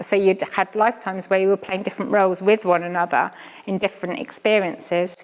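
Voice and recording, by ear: At a fairly quick pace, a woman speaks in a medium-pitched voice. There is little pitch movement.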